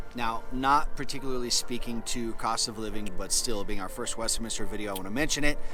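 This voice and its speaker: A man talks at a fairly quick pace with hardly any pauses and fairly even intonation. His pitch is medium, and audible room echo surrounds him. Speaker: real estate agent. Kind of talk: casual chat.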